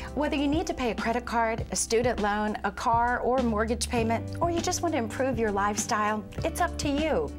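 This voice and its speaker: A woman speaks with hardly any pauses, her loudness very even. Clear music plays in the background. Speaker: actress. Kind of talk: infomercial host read. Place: shop. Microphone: lapel.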